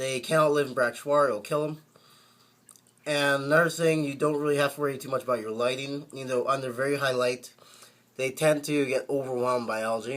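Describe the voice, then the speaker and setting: This man talks at a fairly quick pace in a fairly high pitch, his intonation flat and monotone. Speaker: aquarium hobbyist. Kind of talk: casual talk to camera. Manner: hesitant, many fillers.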